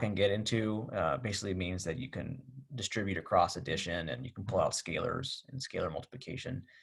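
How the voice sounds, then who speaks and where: With lively intonation and a somewhat breathy sound, a man speaks fairly quickly. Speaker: math instructor. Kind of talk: recorded video lecture. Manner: fast; casual, hesitant with fillers.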